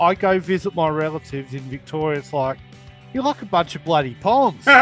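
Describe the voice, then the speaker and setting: Music plays behind a man with a fairly high pitch. He talks at a fairly quick pace with lively intonation. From Adelaide, South Australia. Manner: joking, teasing.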